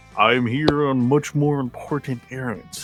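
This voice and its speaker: A man does a booming, put-on character voice at a medium pitch and moderate pace. Clear music plays in the background. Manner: warm.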